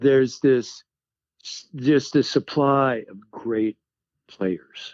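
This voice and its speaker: Speaking very slowly, a man with an American accent keeps a medium pitch with ordinary pitch variation. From US Midwest, Iowa. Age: 70s. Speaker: singer-songwriter. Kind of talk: casual chat.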